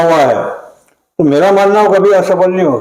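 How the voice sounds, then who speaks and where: A man's voice carries audible room echo. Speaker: veteran local politician. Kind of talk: interview.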